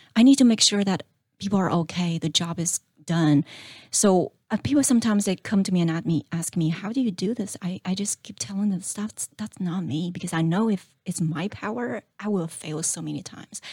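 With a Chinese accent, a woman speaks at a fairly quick pace in a somewhat breathy voice with ordinary pitch variation, recorded dry and close with no echo. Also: medium pitch for a woman. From China. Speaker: small business owner. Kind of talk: interview.

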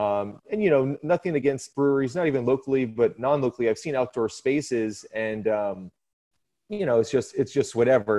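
Lively intonation runs through a man's medium-pitched, ordinary speaking voice. He speaks at a moderate pace. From Florida, moved from New Jersey at eight. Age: 30s. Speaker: brewery bus tour operator. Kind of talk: interview.

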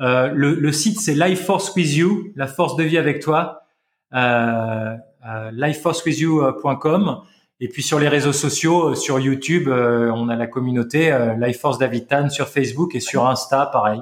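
A man with a fairly high pitch and ordinary pitch variation, at a fairly slow pace. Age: 40s. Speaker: health practitioner and longevity teacher. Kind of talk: casual chat. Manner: animated.

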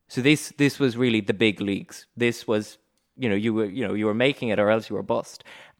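A man with an ordinary speaking voice talks at a fairly quick pace and medium pitch for a man. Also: fairly even intonation. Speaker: podcast host, law-focused interviewer. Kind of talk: formal interview. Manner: formal, articulate.

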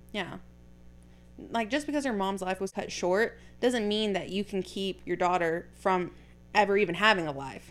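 A woman speaks at a moderate pace with a medium pitch and ordinary pitch variation. She leaves long, frequent pauses. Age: 20s. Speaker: podcast host. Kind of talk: casual chat. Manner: animated.

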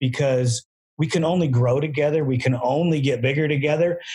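A man speaks at a fairly quick pace in a somewhat breathy, fairly high voice with ordinary pitch variation. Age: 50s. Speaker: podcast host and ATV builder. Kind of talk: casual chat.

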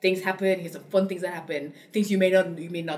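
Over noticeable background noise, a woman talks at a very fast pace and medium pitch. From Cameroon. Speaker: founder of a spice company. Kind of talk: casual interview conversation.

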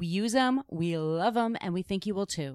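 A woman with a normal speaking voice talks at medium pitch with lively intonation. The recording is very clean, with a silent background and a dry, close sound with no echo. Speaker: podcast host and producer. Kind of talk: casual chat.

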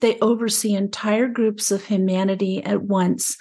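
A somewhat breathy woman talks in a Mid-Atlantic accent. She speaks at a fairly slow pace over a quiet background. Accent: American, Mid-Atlantic. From US, Maryland (Frederick). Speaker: spiritual podcast host, angel communicator. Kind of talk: spiritual teaching talk.

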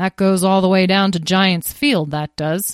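Putting on a rumbling character voice, a woman speaks at a moderate pace in a medium pitch, the very clean recording silent in the background, the sound dry and close with no echo. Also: ordinary pitch variation. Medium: read story. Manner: grunting, grumbling.

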